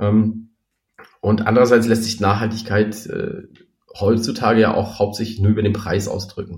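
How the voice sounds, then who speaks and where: A man's fairly low, somewhat breathy voice, flat and monotone, at a moderate pace. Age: 40s. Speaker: startup founder. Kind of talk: interview.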